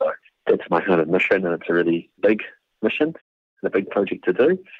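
Speaking at a fairly quick clip, a man talks with a New Zealand accent. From New Zealand, Māori. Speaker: Māori artist and designer. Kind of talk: interview.

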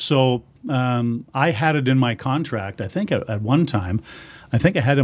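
A man with a Canadian accent talks at a moderate pace in a plain, everyday voice, his medium pitch showing ordinary variation, on a very clean recording with a silent background. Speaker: hockey radio play-by-play announcer. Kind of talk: casual interview chat.

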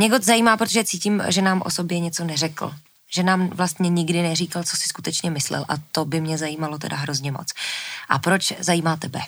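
An unremarkable speaking voice from a woman, fairly low in pitch, with ordinary pitch variation and a fairly quick pace. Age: 30s. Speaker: podcast co-host. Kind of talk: podcast conversation.

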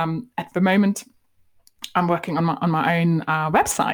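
In a very clean recording with a silent background, a woman with a German accent talks at a fairly quick pace and fairly low pitch. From Germany. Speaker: marketing coach. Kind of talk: podcast interview. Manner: animated.

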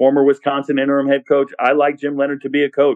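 The speech comes at a very fast pace with an American accent. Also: man. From Southern California. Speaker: college football content creator. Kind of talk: casual interview chat.

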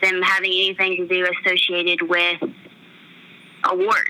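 At a moderate pace, the voice stays monotone and flat over noticeable background noise. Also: woman. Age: 20s. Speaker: country radio DJ. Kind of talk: casual interview.

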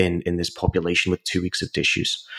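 Fairly quick speech in a British accent. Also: man. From UK. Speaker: exercise science professor. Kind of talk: interview. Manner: hesitant, with many fillers.

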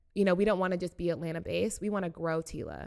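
A woman's ordinary speaking voice with an American accent, fairly low in pitch and fairly even in intonation, on a very clean recording with a silent background. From US South, Chattanooga, Tennessee. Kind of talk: interview.

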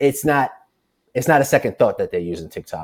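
On a very clean recording with a silent background, a man speaks with an American accent. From Brooklyn, New York. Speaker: journalist and media producer. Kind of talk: casual chat.

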